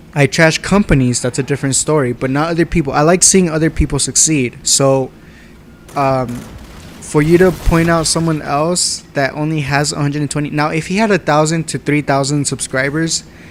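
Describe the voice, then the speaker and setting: A man's normal speaking voice with fairly even intonation. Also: fairly high pitch for a man, fairly quick pace. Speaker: gaming YouTuber. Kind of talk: casual commentary vlog reading comments.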